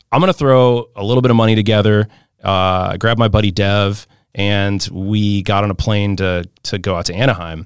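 A man speaks in an unremarkable speaking voice with an American accent, fairly low in pitch and fairly quick in pace. His intonation is fairly even, and the recording is very clean with a silent background. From St. Louis, Missouri. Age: 30s. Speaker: marketing strategist and DJ. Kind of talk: casual interview.

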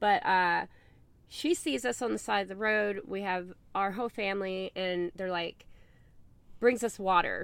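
In a Southern US accent, a woman speaks at a medium pitch with ordinary pitch variation. The recording is very clean, with a silent background. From US South. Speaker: online crystal seller. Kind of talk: casual interview. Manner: animated.

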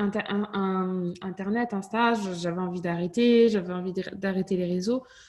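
Against noticeable background noise, a woman speaks at a medium pitch with fairly even intonation and a slight Toulouse accent. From southern France, Toulouse. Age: 30s. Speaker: fitness coach and entrepreneur. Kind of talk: interview. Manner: casual.

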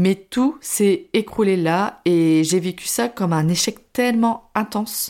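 The recording is very clean, with a silent background. A woman speaks at a medium pitch in a dark, mellow tone with ordinary pitch variation. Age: 20s. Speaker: podcaster, former primary school teacher. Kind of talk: personal testimony monologue. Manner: casual, chatty.

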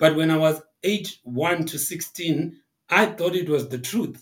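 A somewhat breathy male voice. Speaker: marketing executive. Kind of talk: interview conversation.

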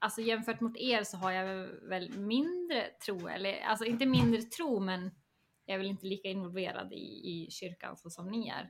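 A woman speaks at a moderate pace and medium pitch, with ordinary pitch variation and a plain, everyday voice. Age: 30s. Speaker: education coordinator. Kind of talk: casual chat.

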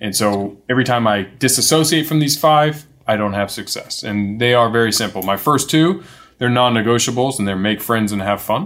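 A normal speaking voice at a fairly quick pace, with ordinary pitch variation, recorded very cleanly against a silent background. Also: man, medium pitch for a man. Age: 40s. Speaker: entrepreneur. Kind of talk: interview.

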